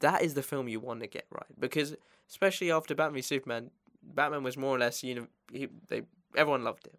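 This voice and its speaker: A man speaks at a very fast pace in a fairly high pitch. His tone is animated. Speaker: podcast host. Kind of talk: casual chat. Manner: animated, laughs often.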